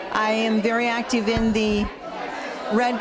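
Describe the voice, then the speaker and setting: A woman speaks at a fairly high pitch in a monotone, flat intonation. Audible room echo surrounds her, and crowd noise sits in the background. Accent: American. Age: 60s. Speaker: community member. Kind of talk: personal testimonial.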